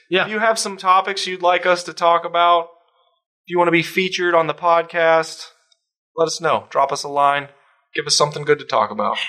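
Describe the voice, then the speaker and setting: Speaking at a fairly quick pace, a man with a high pitch and a bright, sharp tone uses ordinary pitch variation. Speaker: podcast co-host. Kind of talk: casual chat.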